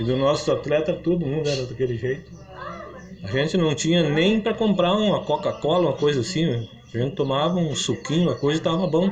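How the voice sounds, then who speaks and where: Against noticeable background noise, a man talks fairly quickly in a fairly high pitch, his loudness very even and his pitch variation ordinary. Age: 80s+. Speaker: founder of local football club, former amateur athlete. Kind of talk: interview.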